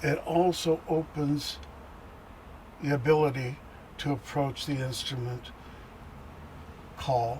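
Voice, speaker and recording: Intonation stays fairly even at a very slow pace, broken by long, frequent pauses. Noticeable background noise sits behind it. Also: man. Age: 70s. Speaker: bass player. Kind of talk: interview. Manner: halting.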